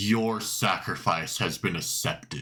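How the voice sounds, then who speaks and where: A man puts on a booming character voice, fairly low in pitch. He delivers it at a fairly slow pace. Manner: grand, ominous.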